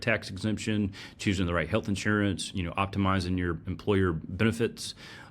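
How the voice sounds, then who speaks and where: Very deep, low-pitched man with a Southern US accent at a fairly quick pace. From US South, North Carolina. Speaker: personal finance podcast host. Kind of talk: solo podcast presentation with slides. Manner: casual, conversational with fillers.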